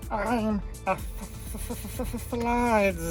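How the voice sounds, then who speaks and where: The voice sounds female and is a put-on character voice. Loud music plays in the background. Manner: creature voice.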